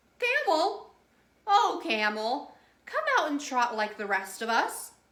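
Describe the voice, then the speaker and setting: Using a put-on character voice, a woman speaks high and at a fairly slow pace with very wide pitch swings. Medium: read story.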